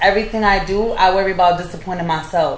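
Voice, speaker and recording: Fairly quick speech in an American accent, fairly even in intonation, over noticeable background noise and audible room echo. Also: woman. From New York. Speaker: podcast guest. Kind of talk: casual chat.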